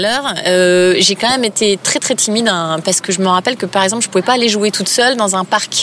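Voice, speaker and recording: Over noticeable background noise, a woman talks at a fairly quick pace in a medium pitch with ordinary pitch variation. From eastern France (Épinal, Vosges). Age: 30s. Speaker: yoga teacher. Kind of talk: casual interview. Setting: outdoors, park bench.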